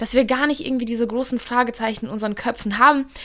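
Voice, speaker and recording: An animated, high-pitched woman's voice. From Bavaria, Germany (Russian-German community). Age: 20s. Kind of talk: casual Q&A monologue. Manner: talkative, animated.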